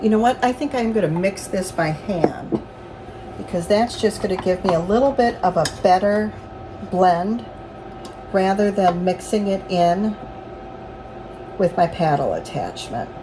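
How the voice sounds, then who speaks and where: A woman at a medium pitch with ordinary pitch variation, at a fairly slow pace with long, frequent pauses, over noticeable background noise. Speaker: home baker and farm vlogger. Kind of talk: cooking tutorial. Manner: halting.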